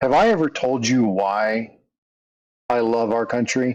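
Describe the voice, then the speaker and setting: A man puts on a gravelly character voice at medium pitch, with ordinary pitch variation. He speaks at a fairly slow pace against a quiet background. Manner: gentle, warm, reflective.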